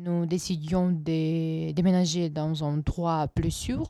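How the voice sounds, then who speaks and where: Speaking very slowly with a Ukrainian accent, a woman uses a fairly low pitch, a dark, mellow tone and fairly even intonation. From western Ukraine. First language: Ukrainian (speaking French). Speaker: student. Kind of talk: testimony. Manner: halting.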